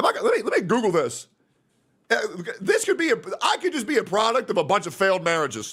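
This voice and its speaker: A loud, animated man with a high pitch, very wide pitch swings and a fairly quick pace. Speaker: streamer. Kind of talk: casual reaction stream commentary.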